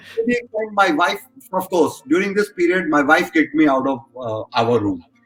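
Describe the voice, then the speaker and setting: High-pitched man's voice with very wide pitch swings over music in the background. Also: moderate pace. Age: 40s. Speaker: esports industry executive. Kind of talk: podcast interview.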